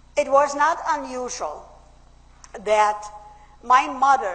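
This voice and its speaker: Noticeable background noise sits behind a woman whose high-pitched voice keeps fairly even intonation. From Austria. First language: German. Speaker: public speaker. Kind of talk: speech.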